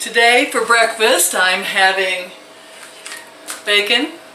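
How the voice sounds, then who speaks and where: A fairly high-pitched woman's voice, very slow, against noticeable background noise. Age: 60s. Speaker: grandmother vlogger. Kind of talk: casual talk to camera.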